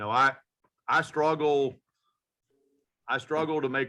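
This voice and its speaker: A man speaks with an American accent at a moderate pace. His tone is bright and sharp. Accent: strong US accent, people say he talks funny. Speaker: veterinarian. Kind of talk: casual panel discussion. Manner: animated, with frequent restarts and fillers.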